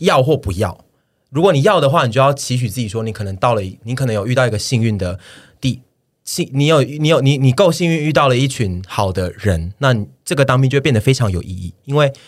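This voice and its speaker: On a very clean recording with a silent background, a man with a Taiwanese accent talks at a fairly quick pace and medium pitch, his intonation lively. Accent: Taiwanese Mandarin. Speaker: podcast co-host. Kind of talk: casual chat. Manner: animated.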